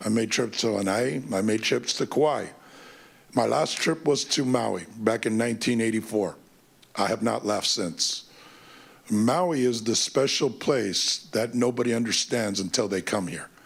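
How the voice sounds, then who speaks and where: An ordinary speaking voice from a man with an American accent, medium in pitch, at a fairly slow pace with ordinary pitch variation. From California. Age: 60s. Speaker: youth sports business owner. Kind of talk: public testimony at council meeting. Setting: council committee meeting.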